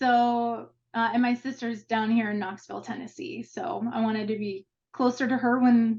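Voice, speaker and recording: A woman speaks with a slight Minnesota accent at a moderate pace and fairly high pitch. Her voice is somewhat breathy, with ordinary pitch variation. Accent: slight Minnesota accent on the O. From Minnesota, US Midwest. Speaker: marketing executive. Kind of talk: interview. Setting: video call.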